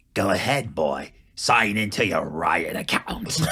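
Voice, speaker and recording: Fairly slow delivery from a man in a put-on character voice, medium in pitch. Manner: menacing.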